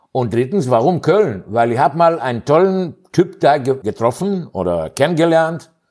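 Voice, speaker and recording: This man talks at a moderate pace in a non-native accent, with hardly any pauses. His pitch is fairly high and swings very widely. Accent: non-native German speaker. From Greece. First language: Greek (speaking German). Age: 60s. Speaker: physicist. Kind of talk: interview. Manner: halting, many fillers.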